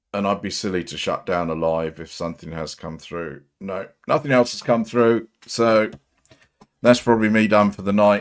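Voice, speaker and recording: A man with an English accent, at a moderate pace and with ordinary pitch variation. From England. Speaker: livestream commentator on auditor videos. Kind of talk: live stream chat reading viewer comments. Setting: solo livestream. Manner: halting.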